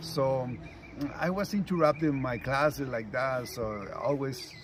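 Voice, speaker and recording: With noticeable background noise behind him, a man with a Spanish accent speaks at a medium pitch. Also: ordinary pitch variation, fairly slow pace. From Mexico, rural ranch town. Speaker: retired sanitation worker and union shop steward. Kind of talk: interview. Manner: halting.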